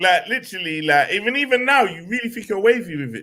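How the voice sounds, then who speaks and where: Raised and projected, a man's high-pitched voice with a bright, sharp tone races at a very fast pace through very wide pitch swings. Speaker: football fan show co-host. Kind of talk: casual chat.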